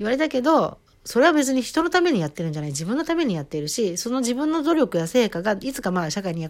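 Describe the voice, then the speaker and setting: This woman sounds animated, her pitch swinging very widely at a very fast pace. The recording is very clean, with a silent background. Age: 40s. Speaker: podcaster and amateur singer. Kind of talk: casual solo monologue.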